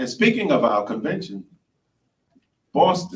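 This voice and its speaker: A man speaks with a New York accent in a high pitch. His pitch swings very widely. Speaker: speaker at a service club meeting, fundraising leader. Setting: stage.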